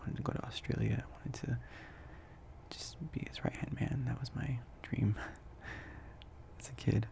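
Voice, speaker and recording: Whispering in a relaxed tone at a moderate pace, a man leaves long, frequent pauses amid noticeable background noise. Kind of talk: ASMR ramble, casual talk to camera. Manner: soft-spoken, relaxed, rambling.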